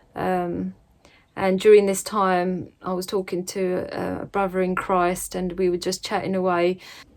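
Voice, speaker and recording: A woman with an English accent speaks at a fairly slow pace and medium pitch in a monotone, flat intonation. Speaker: religious vlogger. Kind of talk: casual vlog talk. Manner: hesitant, many fillers.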